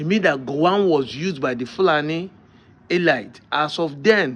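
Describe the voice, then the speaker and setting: With a Nigerian accent, a man talks at a fairly slow pace. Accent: Nigerian Igbo English. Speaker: video commentator. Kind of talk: political commentary.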